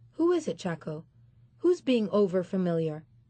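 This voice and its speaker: In a put-on character voice, a woman speaks at a moderate pace and medium pitch with lively intonation. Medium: read story. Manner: imperious, questioning.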